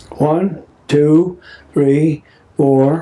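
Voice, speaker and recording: Very slowly and in a flat monotone, a man with an American accent speaks at a fairly high pitch. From Philadelphia. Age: 80s+. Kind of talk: family oral history interview. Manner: casual, rambling storytelling.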